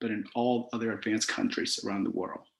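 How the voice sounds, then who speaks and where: This is a man talking. He has a Cambodian accent. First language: Khmer. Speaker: author. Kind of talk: prepared talk.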